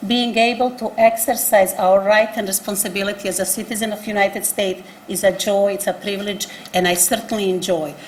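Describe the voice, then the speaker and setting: Against noticeable background noise and audible room echo, a woman with a non-native accent speaks at a medium pitch with fairly even intonation. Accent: foreign. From abroad, refugee from a one-party state. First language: not English. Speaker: nonprofit executive director. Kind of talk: panel statement. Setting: public forum at city hall with live audience.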